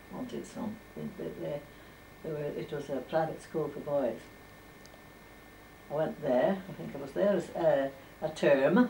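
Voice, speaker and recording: A woman speaks at a fairly slow pace in a very deep, low voice. Light background noise can be heard. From Furness, northern England. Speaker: former domestic servant. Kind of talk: oral history interview. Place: home room. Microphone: old recording.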